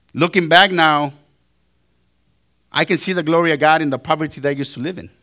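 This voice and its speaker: Speaking very fast with a non-native accent, a man has a fairly high pitch and a bright, sharp tone. His intonation is fairly even, and the recording is very clean with a silent background. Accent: foreign accent, noticeable. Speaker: pastor. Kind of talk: sermon.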